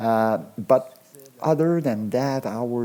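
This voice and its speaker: A man with a French accent talks at a very slow pace with ordinary pitch variation. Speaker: radio show host. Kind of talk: casual comedic monologue. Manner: halting, repetitive.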